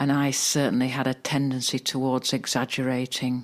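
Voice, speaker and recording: A soft-spoken woman with a very deep, low pitch. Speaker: meditation guide. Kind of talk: sleep story. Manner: calm, soft-spoken.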